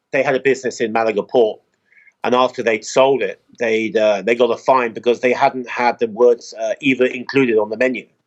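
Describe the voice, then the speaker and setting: This man's delivery is fairly quick. His intonation stays flat and monotone. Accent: southern English. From England, Oxford. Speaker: expat resident. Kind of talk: casual chat.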